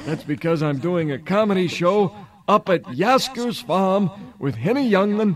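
With noticeable background noise behind him, a high-pitched man speaks at a moderate pace with lively intonation. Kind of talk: stand-up comedy routine with punchline-driven turkey puns and crowd work. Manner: animated, cheeky, punchy joke-teller with showbiz patter and timed pauses.

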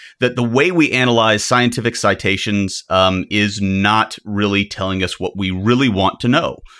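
A man with a Southern US accent speaks in a bright, sharp tone on a very clean recording with a silent background. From US South. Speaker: psychology professor and startup co-founder. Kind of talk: casual interview conversation. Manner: frequent fillers and hesitations.

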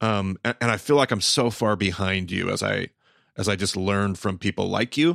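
A man speaks at a moderate pace and fairly low pitch in an unremarkable speaking voice with ordinary pitch variation. The recording is very clean, with a silent background, and the sound is dry and close with no echo. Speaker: podcast host, Bible teacher. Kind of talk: podcast interview.

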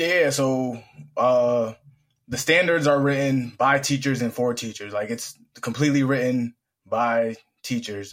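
A man talks at a fairly slow pace with an American accent, in a medium pitch and fairly even intonation. It is an unremarkable speaking voice on a very clean recording with a silent background. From US Northeast, Springfield, Massachusetts. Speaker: marketing manager at a teacher certification organization. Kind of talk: casual interview.

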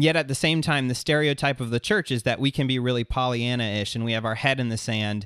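On a very clean recording with a silent background, a man has an ordinary speaking voice at a medium pitch with fairly even intonation, and the sound is dry and close with no echo. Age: 30s. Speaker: podcast host. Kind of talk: interview conversation.

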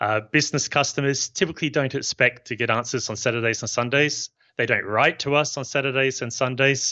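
The speaker has a New Zealand accent and keeps a moderate pace. Pitch variation is ordinary. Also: man. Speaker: software company founder. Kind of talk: interview.

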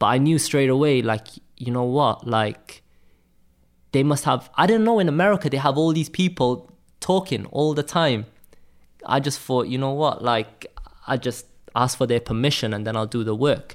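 A man with a Cardiff accent, his speech broken by long, frequent pauses. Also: medium pitch for a man, moderate pace. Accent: Welsh (Cardiff). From Cardiff, Wales. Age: 20s. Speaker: graphic designer. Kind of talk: casual interview chat. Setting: apartment, in person.

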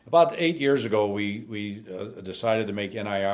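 Speech moves along at a fairly quick pace. It comes in a plain, everyday voice. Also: man. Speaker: business owner. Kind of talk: interview.

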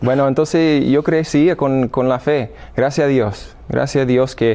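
Here a man with an American accent talks at a fairly slow pace in a dark, mellow tone, his intonation fairly even. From US Midwest, Illinois. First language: English (speaking Spanish). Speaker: seminarian and former professional soccer player. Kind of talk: interview. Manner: halting.

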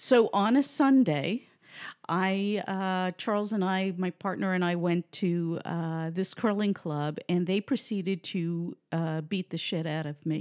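A woman with an American accent and an ordinary speaking voice, at medium pitch with ordinary pitch variation and a fairly slow pace, in a dry, close sound with no echo on a very clean recording with a silent background. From New York City, the Bronx. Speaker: crossword columnist. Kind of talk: casual chat. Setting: at guest's home.

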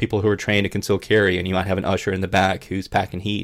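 The man's pitch is very deep and low. He speaks in a Southern US accent with fairly even intonation. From US South. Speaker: podcast co-host. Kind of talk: casual chat. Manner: fast talker.

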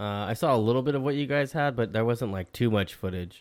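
A man speaks in a plain, everyday voice, fairly low, with ordinary pitch variation. The recording is very clean, with a silent background. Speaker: podcast host. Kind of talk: casual interview chat.

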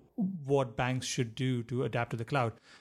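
A man speaks in a normal speaking voice. His pitch is medium and his pace moderate. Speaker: podcast co-host. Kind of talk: casual chat.

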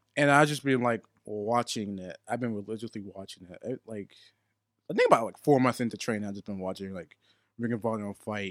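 In an ordinary speaking voice with an American accent, someone talks at a fairly quick pace with ordinary pitch variation and big swings in loudness, the sound dry and close with no echo. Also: man, medium pitch for a man. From Pittsburgh area, Pennsylvania. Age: young (19). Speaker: pro wrestler. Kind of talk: interview. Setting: studio.

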